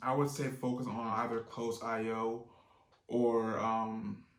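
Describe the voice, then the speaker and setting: Medium-pitched male speech amid noticeable background noise and audible room echo. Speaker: online business youtuber. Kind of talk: tutorial. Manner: fast; casual, with fillers.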